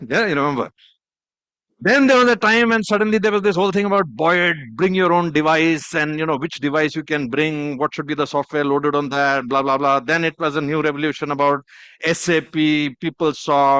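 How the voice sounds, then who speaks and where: A man with a fairly high pitch speaks at a fairly quick pace in a bright, sharp tone, with ordinary pitch variation, a quiet background, and a dry, close sound with no echo. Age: 60s. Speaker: keynote speaker, former army officer. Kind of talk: conference keynote talk. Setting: conference hall with audience. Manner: animated.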